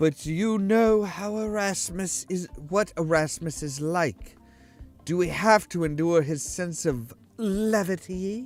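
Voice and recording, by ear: A breathy, put-on character voice at a middle pitch speaks at a fairly slow pace. Music plays in the background.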